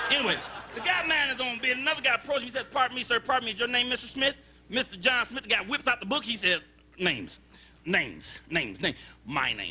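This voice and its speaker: Over noticeable background noise, a man talks at a very fast pace in a raised, projected voice, extremely high-pitched for a man and animated in tone. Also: ordinary pitch variation. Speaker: stand-up comedian. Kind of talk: stand-up comedy set working the crowd, joke-telling with punchlines. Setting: stage with live audience. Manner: animated, conversational crowd-work with repeated phrases and audience banter; storytelling build-ups punctuated by quick punchlines and his own laughter.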